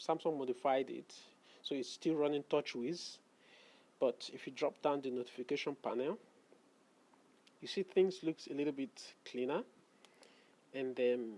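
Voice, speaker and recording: A man speaks with a non-native accent at a fairly high pitch. His tone is dark and mellow, with ordinary pitch variation. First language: not English. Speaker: tech reviewer. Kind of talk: product unboxing review.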